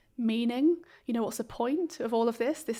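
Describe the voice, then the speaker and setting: At a moderate pace, a woman with a southern English accent speaks in a fairly high pitch with ordinary pitch variation, on a very clean recording with a silent background. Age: 40s. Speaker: clinical psychologist. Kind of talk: interview conversation. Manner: hesitant, many fillers.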